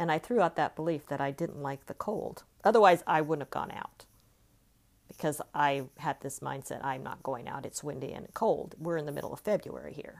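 Speaking at a moderate pace with an American accent, a woman has a very deep, low pitch, vocal fry, ordinary pitch variation and big swings in loudness. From California. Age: 50s. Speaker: life coach. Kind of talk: solo monologue podcast.

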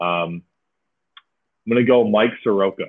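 This man's voice sits fairly low in pitch, with a Midwestern American accent. His intonation stays fairly even. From Michigan, US. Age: 20s. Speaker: podcast host, minor league baseball player. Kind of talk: casual chat. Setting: remote recording.

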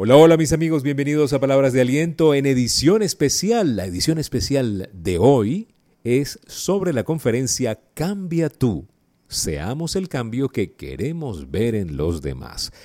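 Speaking fairly slowly, a man's medium-pitched voice swings very widely up and down. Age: 50s. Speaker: life coach. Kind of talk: motivational talk. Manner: conversational, frequent fillers.

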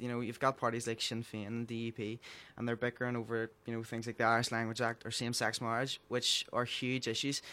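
This man speaks with a Belfast accent at a very fast pace. His pitch is medium and his tone is bright and sharp. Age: young. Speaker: young environmentalist. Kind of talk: casual discussion. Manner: halting.

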